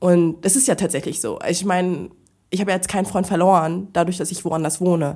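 A woman's fairly low voice in a dark, mellow tone, at a fairly quick pace, on a very clean recording with a silent background. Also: ordinary pitch variation. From Frankfurt, Germany. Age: 30s. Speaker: podcast guest. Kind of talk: casual chat.

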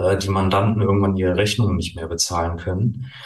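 A man's fairly low, somewhat breathy voice at a moderate pace, with fairly even intonation and audible room echo. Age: 40s. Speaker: tax advisor and coach. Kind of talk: interview. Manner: hesitant with many fillers.

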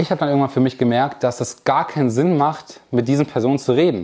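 A man's fairly high voice, dark and mellow in tone, at a very fast pace with ordinary pitch variation. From Germany, Lower Rhine (NRW), near the Ruhr. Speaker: online marketing entrepreneur. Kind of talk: keynote talk to a live audience. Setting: stage with audience.

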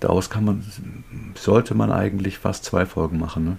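Here a man speaks with a very deep, low voice. His pitch variation is ordinary. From North Rhine-Westphalia, Germany. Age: 50s. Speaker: recovered addict, self-help group leader. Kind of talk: casual interview.

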